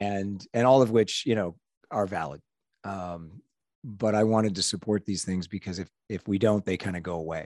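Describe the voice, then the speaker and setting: A man with a plain, everyday voice speaks at a moderate pace in a fairly low pitch with ordinary pitch variation. The background is quiet, and the sound is dry and close with no echo. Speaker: podcast co-host. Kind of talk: casual chat. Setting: video call.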